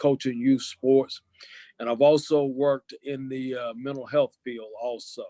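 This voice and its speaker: A man's medium-pitched voice in a Southern US accent, dark and mellow in tone, with monotone, flat intonation at a moderate pace and a dry, close sound with no echo. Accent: Southern US (Georgia). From US South, Lawrenceville, Georgia. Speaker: sheriff candidate, retired police officer. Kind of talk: interview. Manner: hesitant, many fillers.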